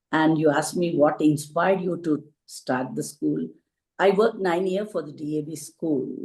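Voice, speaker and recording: A woman's very deep, low voice with vocal fry, a dark, mellow tone and a Telugu accent. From India, Telugu-speaking region. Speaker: school founder and teacher. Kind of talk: panel interview, personal story.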